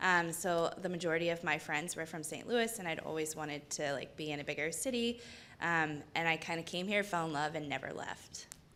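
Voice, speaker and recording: A woman with an American accent, fairly low in pitch and bright and sharp in tone, at a fairly quick pace amid audible room echo. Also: ordinary pitch variation. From US Gulf Coast, southern Alabama. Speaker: nonprofit community director, panelist. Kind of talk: panel discussion. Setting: stage with live audience.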